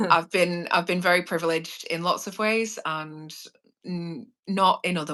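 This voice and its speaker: A woman speaks in an English accent with a bright, sharp tone. Her pitch varies in an ordinary way over a quiet background. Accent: posh English, private-school. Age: 30s. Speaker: criminology student, former prisoner guest. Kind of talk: casual live chat. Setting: live stream.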